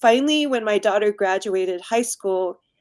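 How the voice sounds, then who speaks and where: A woman's voice with ordinary pitch variation, in a dry, close sound with no echo. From US Midwest, Indiana. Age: 60s. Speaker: designer and community activist. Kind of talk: interview.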